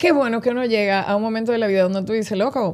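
A woman talks at a very fast pace. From Dominican Republic, San Francisco de Macorís. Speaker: radio host and actress. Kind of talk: casual interview chat.

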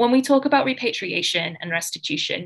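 A woman talks at a moderate pace with lively intonation and a bright, sharp tone over a quiet background. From Australia. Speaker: art historian and writer; panelist, museum educator. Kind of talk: conference talk and panel discussion; panel discussion remarks. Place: home room. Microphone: video call.

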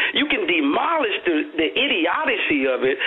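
The man's pitch swings very widely as he talks. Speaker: caller. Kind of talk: caller opinion. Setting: phone call. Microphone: phone line.

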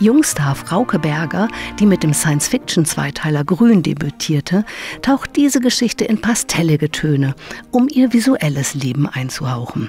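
Over music in the background, a woman with a fairly low pitch speaks at a fairly slow pace, her pitch swinging very widely. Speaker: narrator. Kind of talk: comic book trailer narration.

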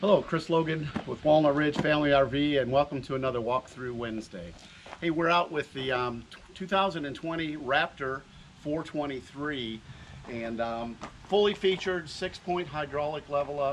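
The man's pitch varies in an ordinary way as he speaks at a moderate pace with light background noise. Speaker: RV dealer salesman. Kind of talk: product walkthrough presentation. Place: street.

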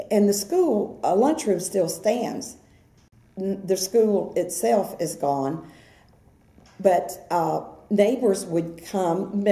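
Somewhat breathy woman with an American accent, a dark, mellow tone, lively intonation, a very slow pace, and audible room echo. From Brooksville, Florida, USA. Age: 70s. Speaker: oral history interviewee. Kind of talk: oral history interview answer. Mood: warm, nostalgic.

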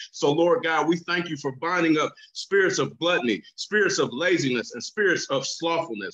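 Against a quiet background, a man with a high pitch talks at a moderate pace with lively intonation and hardly any pauses. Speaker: pastor. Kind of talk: fervent prayer. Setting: virtual prayer service. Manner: earnest, pleading, fervent; rhythmic, repetitive cadence with pulpit-style emphasis. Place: home room. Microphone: video call.

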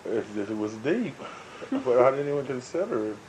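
Speaking at a moderate pace, a man with an American accent uses lively intonation at a fairly high pitch. There is noticeable background noise. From Seattle. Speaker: chef and caterer. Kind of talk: oral history interview answer. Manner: casual, conversational.

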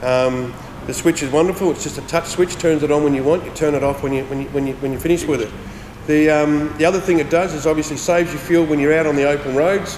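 A man with a fairly high voice and fairly even intonation speaks at a very fast pace with hardly any pauses, amid audible room echo and light background noise. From Australia. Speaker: transmission specialist. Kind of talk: product demonstration. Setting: workshop. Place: workshop.

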